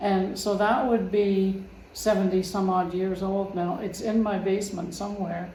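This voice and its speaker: Over noticeable background noise and audible room echo, a woman talks at a fairly slow pace in a monotone, flat intonation. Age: 80s+. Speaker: family member interviewed. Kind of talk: casual interview. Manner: halting.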